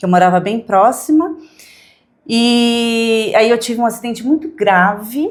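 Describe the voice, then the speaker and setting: A woman speaks in a São Paulo accent at a fairly high pitch. She goes at a fairly slow pace with lively intonation. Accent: Brazilian Portuguese, São Paulo. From Brazil, São Paulo area (Santo André). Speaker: modeling agency representative. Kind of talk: interview.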